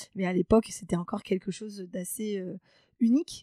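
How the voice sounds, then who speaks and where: A woman's dark, mellow tone comes through dry and close with no echo, in a very clean recording with a silent background. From France, Charente (rural). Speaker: HR and recruitment specialist. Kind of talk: interview. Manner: hesitant, many fillers.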